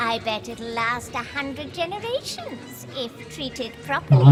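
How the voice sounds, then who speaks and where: A female-sounding put-on character voice at a moderate pace, with loud music in the background. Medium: game stream. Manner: musing, appreciative.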